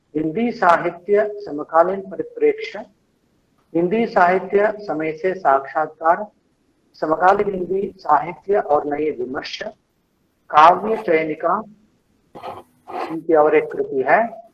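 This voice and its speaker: A man with a high pitch and ordinary pitch variation speaks with long, frequent pauses. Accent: Kannada. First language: Kannada (speaking Hindi). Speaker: lecture series moderator. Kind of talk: speaker introduction. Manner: halting, with fillers.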